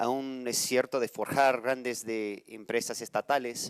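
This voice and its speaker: With a non-native accent, a man speaks in fairly even intonation. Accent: non-native Spanish speaker. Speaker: nonprofit network leader. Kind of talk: panel discussion. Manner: halting.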